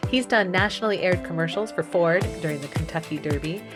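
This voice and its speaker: A woman speaks with music in the background. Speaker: podcast host. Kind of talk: podcast interview.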